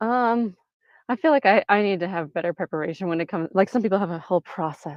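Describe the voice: A woman talks at a fast pace with fairly even intonation and a slightly mellow tone. The sound is dry and close, with no echo.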